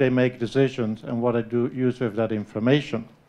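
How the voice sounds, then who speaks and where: A man speaks at a moderate pace. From Netherlands. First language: Dutch. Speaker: professor. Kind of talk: conference lecture. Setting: conference room with audience.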